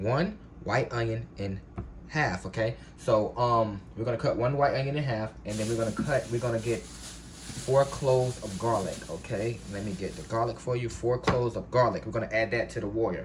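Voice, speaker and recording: Noticeable background noise surrounds a man whose medium-pitched voice shows ordinary pitch variation. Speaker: home cook. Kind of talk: cooking tutorial. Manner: fast; casual, filler-heavy.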